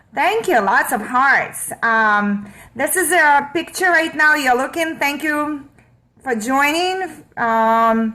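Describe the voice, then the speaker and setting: With a raised, projected voice, a woman speaks at a very slow pace in a high pitch, her tone bright and sharp, her intonation lively and her loudness very even. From Russia. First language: Russian. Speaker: online marketer. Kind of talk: live stream talk. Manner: halting.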